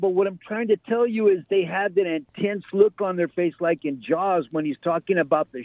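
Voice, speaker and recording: A man's high-pitched voice, with ordinary pitch variation, comes through at a moderate pace. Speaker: caller. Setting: phone call.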